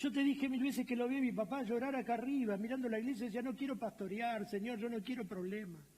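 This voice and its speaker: With a Rioplatense accent, a man speaks very fast with hardly any pauses, his pitch extremely high and his tone dark and mellow, with ordinary pitch variation. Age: 60s. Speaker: pastor. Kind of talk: sermon. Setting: church auditorium, livestreamed.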